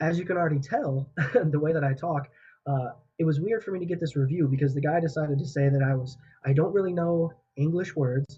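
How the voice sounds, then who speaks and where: This man talks very fast with a fairly high pitch, a dark, mellow tone, a somewhat breathy quality and ordinary pitch variation. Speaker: podcast host. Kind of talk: casual chat. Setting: podcast recording. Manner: animated.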